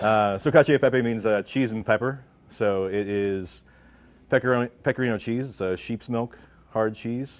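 At a moderate pace, a man talks with fairly even intonation and a fairly low pitch. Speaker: guest. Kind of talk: cooking demonstration explanation. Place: studio. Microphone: lapel.

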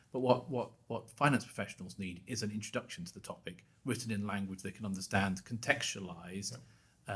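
A man's somewhat breathy, fairly low voice with fairly even intonation. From Scotland. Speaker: bank institute chief executive; podcast guest. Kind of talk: interview. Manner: repeats words when starting. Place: studio. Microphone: studio mic.

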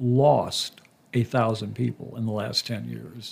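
A man's somewhat breathy voice moves at a fairly slow pace, with ordinary pitch variation. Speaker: podcast interviewer. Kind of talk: interview.

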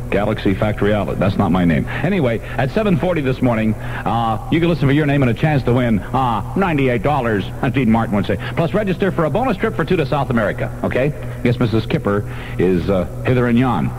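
With music in the background, a man talks at a very fast pace, his medium-pitched voice carrying lively intonation. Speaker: radio disc jockey. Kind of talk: morning radio DJ patter with jokes. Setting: radio broadcast, second-generation copy. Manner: joking, wisecracking. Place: studio. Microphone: old recording.

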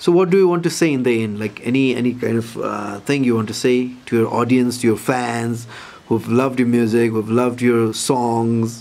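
A man's medium-pitched voice with a Nepali accent, moderate pace and ordinary pitch variation, over noticeable background noise. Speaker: interviewer. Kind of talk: interview.

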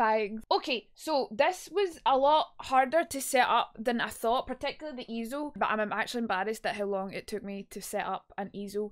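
Over a quiet background, a woman with a Scottish accent speaks at a fairly quick pace, hardly pausing. Her fairly high pitch rises and falls with lively intonation. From Scotland. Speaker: streamer. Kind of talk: casual livestream talk. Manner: chatty, humorous. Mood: playful, joking. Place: home room. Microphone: studio mic.

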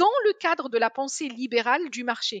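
A woman at a high pitch with very wide pitch swings and a moderate pace, dry sound with no echo, quiet background. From Algeria, Algiers; Algeria. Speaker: energy policy scientist; guest. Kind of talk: interview. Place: home room. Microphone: headset.

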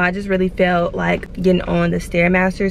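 In a dry recording without echo and with light background noise, a woman speaks in a flat monotone. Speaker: lifestyle vlogger. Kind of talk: casual vlog talk to camera. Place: car. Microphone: phone near.

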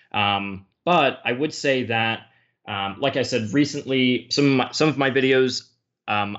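A man with an American accent and an unremarkable speaking voice, medium in pitch, at a moderate pace with ordinary pitch variation. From United States. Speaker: history YouTuber. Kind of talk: casual chat.

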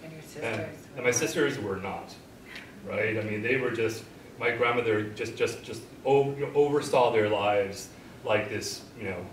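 A man with an American accent speaks at a moderate pace, with ordinary pitch variation. His loudness swings widely, and there is noticeable background noise. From Los Angeles, California. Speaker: professor. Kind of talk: panel discussion. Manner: halting, many repetitions. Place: classroom. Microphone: camera far.

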